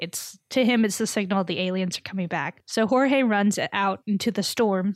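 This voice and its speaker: In a very clean recording with a silent background and a dry, close sound with no echo, a woman with an American accent speaks in an unremarkable speaking voice of medium pitch and ordinary pitch variation. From Texas. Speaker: podcast host. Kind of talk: casual chat.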